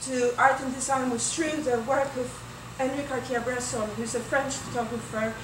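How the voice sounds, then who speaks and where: With a Greek accent, a woman speaks in a high pitch at a moderate pace, with audible room echo and noticeable background noise. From Greece, Athens. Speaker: weaver and textile artist. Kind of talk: artist talk with slides.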